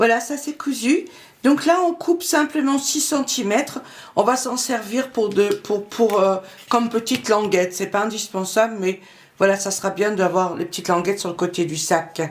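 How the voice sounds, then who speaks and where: Her voice sits fairly high for a woman and swings very widely in pitch. She speaks at a moderate pace. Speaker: sewing youtuber. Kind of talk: tutorial.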